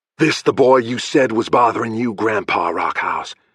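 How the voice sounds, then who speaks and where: In a growling, put-on character voice, a man speaks at a moderate pace with a medium pitch. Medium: read story. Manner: hostile, blunt.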